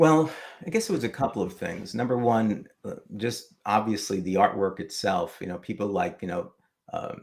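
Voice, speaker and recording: In a New York accent, a man speaks at a moderate pace with a fairly low pitch and lively intonation. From New York City, Manhattan. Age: old. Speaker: retiree, comic collector and YouTuber. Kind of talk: casual interview.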